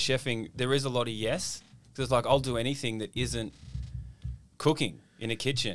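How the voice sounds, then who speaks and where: In an Australian accent, a man speaks fairly quickly with an energetic tone, vocal fry, and ordinary pitch variation. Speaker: comedian and ex-chef podcast host. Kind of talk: casual chat. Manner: swearing, jokey, energetic.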